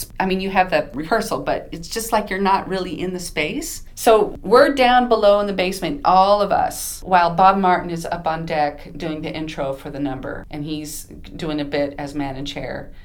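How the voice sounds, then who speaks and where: A woman with an American accent and a medium pitch, lively intonation and big swings in loudness, at a moderate pace with hardly any pauses, amid noticeable background noise and audible room echo. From Southern California. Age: 50s. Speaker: Broadway ensemble performer. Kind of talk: casual interview.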